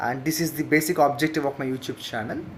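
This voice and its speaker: A man speaks with an Indian accent. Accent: Indian English, Telugu. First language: Telugu. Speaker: teacher. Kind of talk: channel introduction monologue. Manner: hesitant with fillers.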